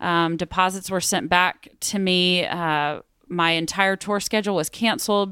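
Speaking at a fairly slow pace in a Texan accent, a woman keeps her loudness very even and her tone bright and sharp. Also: medium pitch for a woman. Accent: Texan American. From West Texas, Midland. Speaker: former church member, touring performer. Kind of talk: interview testimony.

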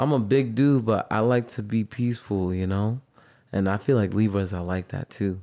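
A man's plain, everyday voice, fairly low in pitch, at a moderate pace, in a very clean recording with a silent background. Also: ordinary pitch variation. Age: 20s. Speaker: musician. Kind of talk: casual chat.

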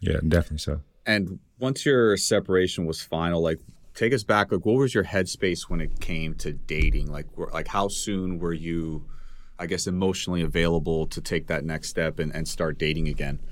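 A man with a very deep, low voice talks at a moderate pace, using ordinary pitch variation. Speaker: podcast host. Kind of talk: casual chat.

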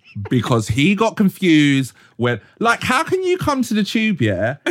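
A man with a London accent talks at a moderate pace in a high voice that swings very widely in pitch. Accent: London English (multicultural London). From South London, Croydon. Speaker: photographer and advertising creative. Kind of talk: casual chat. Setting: studio. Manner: animated.

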